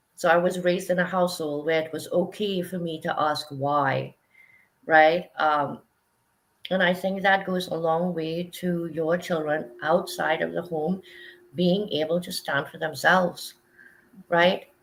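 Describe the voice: A woman with a fairly low pitch speaks at a fairly slow pace, with vocal fry and fairly even intonation.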